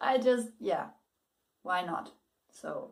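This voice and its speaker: Very slow speech in a German accent with ordinary pitch variation. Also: woman. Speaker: book reviewer and writing advice youtuber. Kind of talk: casual video blog. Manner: halting, many repetitions and fillers.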